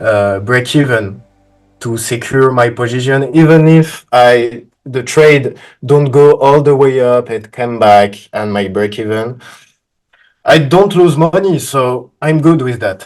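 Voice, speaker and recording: Speaking with a French accent, a man uses ordinary pitch variation. His pace is very slow. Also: medium pitch for a man. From France. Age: 20s. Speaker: funded trader. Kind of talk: interview. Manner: halting.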